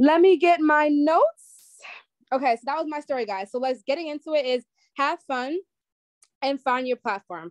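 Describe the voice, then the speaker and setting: Over a quiet background, a woman with a New York accent speaks at a high pitch with lively intonation and long, frequent pauses. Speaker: social media business coach. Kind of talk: webinar presentation. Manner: fast. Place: home room. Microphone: phone near.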